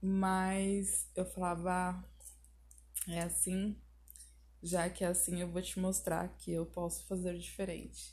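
A woman talks very slowly, stopping often for long pauses. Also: very even loudness. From southern Brazil, Porto Alegre. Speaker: YouTuber. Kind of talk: personal monologue podcast.

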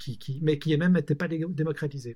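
A somewhat breathy man with a fairly high pitch, a dark, mellow tone, fairly even intonation and a fairly quick pace on a very clean recording with a silent background. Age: 40s. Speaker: entrepreneur. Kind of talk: casual chat.

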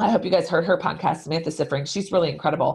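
A somewhat breathy woman's voice, fairly low in pitch. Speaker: sales podcast host. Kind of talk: solo podcast monologue. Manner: enthusiastic.

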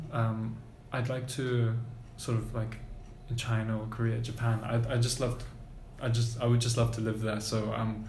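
Audible room echo around a man's medium-pitched voice, fairly slow in pace. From Germany. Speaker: university student. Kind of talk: casual chat. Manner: halting.

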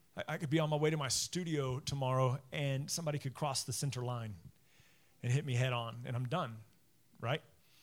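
Somewhat breathy and at medium pitch, a man talks at a fairly quick pace with ordinary pitch variation. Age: 40s. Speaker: pastor. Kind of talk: sermon. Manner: halting.

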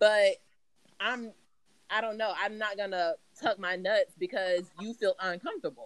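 With an American accent, a woman talks at a moderate pace in a fairly high pitch. Her intonation is lively, and she leaves long, frequent pauses. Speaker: guest. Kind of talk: casual chat.

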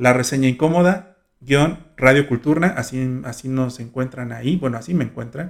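The speaker keeps a moderate pace and ordinary pitch variation. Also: man, medium pitch for a man. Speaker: student radio host. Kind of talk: casual radio show.

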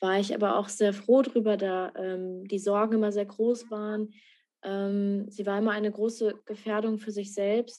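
A woman's monotone, flat intonation comes at a fairly slow pace. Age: 20s. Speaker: author and student. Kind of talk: interview. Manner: halting, many filler sounds.

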